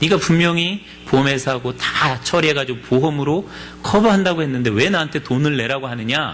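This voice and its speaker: Noticeable background noise and audible room echo surround a man's fairly high voice. He talks at a fairly quick pace with ordinary pitch variation. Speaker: pastor. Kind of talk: sermon.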